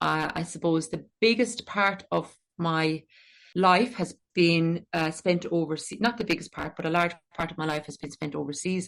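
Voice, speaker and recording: At a moderate pace, a woman speaks with an Irish accent in a fairly low pitch. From Ireland. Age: 40s. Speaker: secondary school maths teacher and author. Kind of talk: podcast interview.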